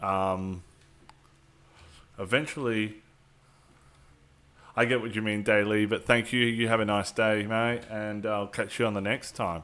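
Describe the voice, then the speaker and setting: Speaking at a fairly slow pace with long, frequent pauses, a man uses a fairly low pitch, a bright, sharp tone and fairly even intonation. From Australia. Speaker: gaming streamer. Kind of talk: live stream gameplay commentary. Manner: casual, filler-heavy.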